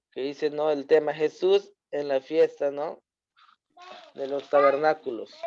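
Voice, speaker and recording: A fairly high-pitched man at a fairly slow pace, monotone and flat, with long, frequent pauses and a dry, close sound with no echo. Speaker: Bible study teacher. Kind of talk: Bible study lesson.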